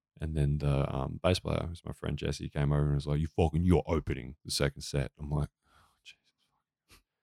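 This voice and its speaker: A man with an Australian accent, very deep and low in pitch, dark and mellow in tone, flat and monotone, at a fairly quick pace. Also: dry, close sound with no echo. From Australia, rural Victoria. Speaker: comedian and musician. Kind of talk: casual chat.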